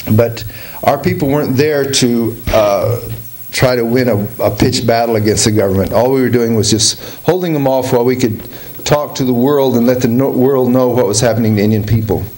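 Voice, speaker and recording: At a fairly quick pace, a man with a medium pitch speaks in fairly even intonation and very even loudness, with audible room echo and noticeable background noise. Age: 60s. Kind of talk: talk to an audience. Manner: informal, halting with fillers.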